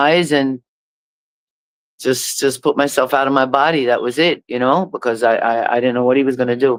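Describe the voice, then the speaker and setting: A woman with a very deep, low pitch and fairly even intonation speaks at a fairly quick pace in a very clean recording with a silent background. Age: 60s. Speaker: reggae recording artist and producer. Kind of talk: interview.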